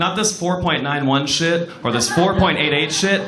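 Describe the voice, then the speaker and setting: A man with an American accent speaks with lively intonation amid noticeable background noise and audible room echo. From Southern California. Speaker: stand-up comedian. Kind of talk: stand-up. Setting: stage with audience. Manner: animated.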